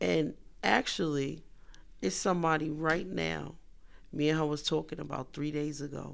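At a moderate pace, a woman speaks with vocal fry and a very deep, low pitch. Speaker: mother of a co-host. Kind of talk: casual chat. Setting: studio.

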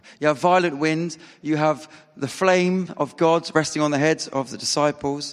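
A man with a fairly high voice keeps a moderate pace while noticeable background noise sits behind him. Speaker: preacher. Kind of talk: sermon. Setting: church. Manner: animated.

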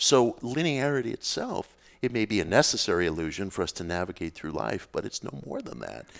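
Recorded very cleanly over a silent background, a man speaks fairly quickly at a fairly low pitch, with vocal fry and very wide pitch swings. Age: 50s. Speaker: author on occult and spirituality. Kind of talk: casual interview conversation.

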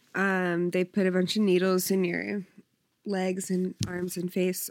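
A woman with an American accent has an unremarkable speaking voice at a medium pitch. Her intonation is fairly even. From South Jersey, US. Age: 20s. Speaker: bartender. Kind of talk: casual chat.

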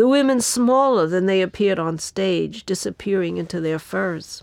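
With lively intonation, a woman talks at a moderate speed on a very clean recording against a silent background. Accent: New York. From New York, the Bronx. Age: 70s. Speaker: writer and activist. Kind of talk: reading aloud.

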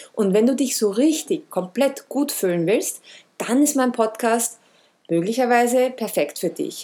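With very wide pitch swings, a woman speaks at a moderate pace and fairly high pitch in a dark, mellow tone. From Austria, Vienna. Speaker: wellness podcast host. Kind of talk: podcast monologue introduction.

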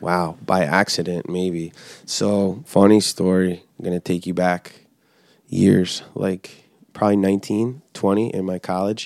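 A man's very deep, low voice with an American accent, very slow and fairly even in intonation, in a very clean recording with a silent background and a dry, close sound with no echo. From New Jersey. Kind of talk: casual chat.

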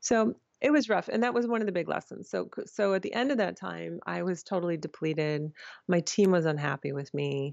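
Using an ordinary speaking voice, a woman with an American accent talks at a fairly quick pace. Her fairly low pitch carries lively intonation. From Michigan, US Midwest. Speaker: film and VR producer. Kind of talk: interview.

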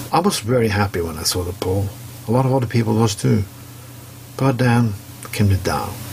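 Speaking with a Norwegian accent, a man with a fairly low pitch and ordinary pitch variation moves at a fairly quick pace but takes long, frequent pauses, with noticeable background noise behind him. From Norway. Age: 40s. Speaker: commentary segment contributor. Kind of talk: opinion monologue.

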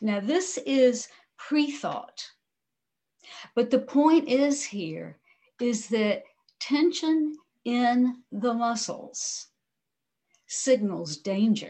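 Her tone is calm, and this woman speaks at a very slow pace with long, frequent pauses. Her high pitch moves with lively intonation. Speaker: mindfulness teacher. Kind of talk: guided meditation. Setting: video call.

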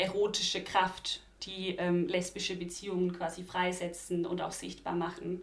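A woman speaks at a medium pitch. She takes a fairly slow pace. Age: 20s. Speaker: student and LGBTQ youth activist. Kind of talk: casual interview conversation.

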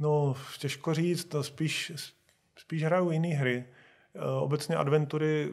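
A man speaks at a very slow pace with a fairly high pitch. His voice is somewhat breathy, with fairly even intonation. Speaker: video game studio founder. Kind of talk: interview.

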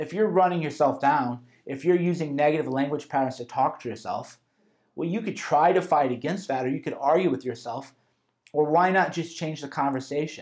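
A man with an ordinary speaking voice, fairly high in pitch, at a fairly quick pace with ordinary pitch variation. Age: 30s. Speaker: author narrating his self-help audio course. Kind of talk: audiobook narration, conversational lecture. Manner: casual, informal.

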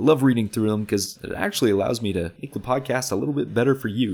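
A man speaks quietly with lively intonation. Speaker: podcast host. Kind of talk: solo podcast monologue. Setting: home recording. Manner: quiet, low energy.

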